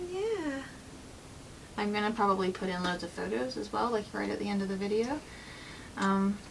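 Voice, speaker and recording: Over noticeable background noise, a woman at a medium pitch speaks at a moderate pace with very wide pitch swings. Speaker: vlogger sharing her birth story. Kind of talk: personal storytelling vlog. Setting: at home with newborn. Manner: quiet, soft-spoken; casual, filler-heavy.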